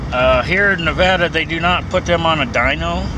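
A man at a fairly slow pace, dry sound with no echo, noticeable background noise behind him. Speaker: truck driver vlogger. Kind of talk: casual vlog chat. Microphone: phone near.

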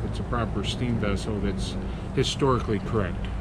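The man talks at a fairly brisk pace while loud noise fills the background. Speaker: boat captain guide. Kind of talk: interview answer. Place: boat. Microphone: phone near.

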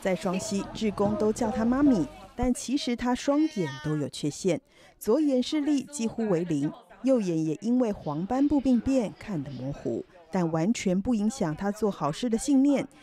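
Noticeable background noise surrounds a woman speaking at a fairly slow pace. Her fairly high pitch swings very widely. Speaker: news narrator. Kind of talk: TV news narration.

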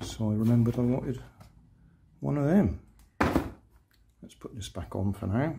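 A man talks with a dark, mellow tone and some vocal fry. His pitch varies in an ordinary way. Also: medium pitch for a man, fairly slow pace.

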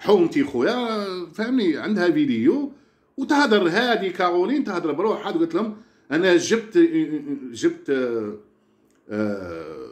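Pitched high, a man speaks at a fairly slow pace. His voice moves in very wide pitch swings. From Algeria. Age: old. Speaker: social media personality; vlogger. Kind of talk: casual rant to viewers. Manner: animated. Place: home room. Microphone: phone near.

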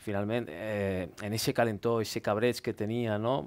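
A man with a fairly low pitch speaking at a moderate pace. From Valencia region, Oliva; Valencia region, Spain. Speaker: politician; panelist. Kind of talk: heated debate. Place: studio. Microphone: headset.

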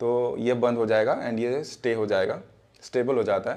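Speaking at a moderate pace, the man has a medium pitch, a slightly mellow tone and ordinary pitch variation.

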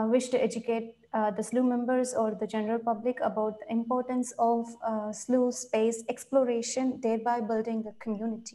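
In an Indian accent, a woman speaks at a moderate pace with high pitch. Her tone is dark and mellow, and her intonation is monotone and flat. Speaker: volunteer program coordinator; presenter. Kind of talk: interview. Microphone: video call.

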